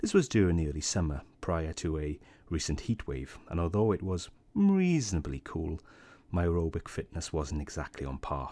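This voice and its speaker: Soft-spoken and with a British accent, a man uses a very deep, low pitch, a dark, mellow tone and ordinary pitch variation on a very clean recording with a silent background. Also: moderate pace. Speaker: science youtuber. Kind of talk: personal reflection.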